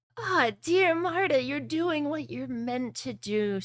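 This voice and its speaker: A female-sounding voice puts on a character voice, pitched high and moving at a fairly slow pace. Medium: actual play. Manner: warm, patronizing.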